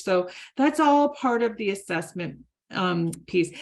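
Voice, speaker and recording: A woman with a normal speaking voice, medium pitch, lively intonation and a fairly slow pace. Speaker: conference presenter. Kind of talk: presentation with website demo.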